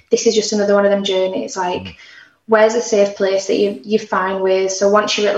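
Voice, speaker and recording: Her intonation stays fairly even and her pitch sits in the medium range. The woman talks at a moderate pace. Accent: Yorkshire. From northern England, Barnsley (South Yorkshire). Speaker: singer-songwriter. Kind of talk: casual chat.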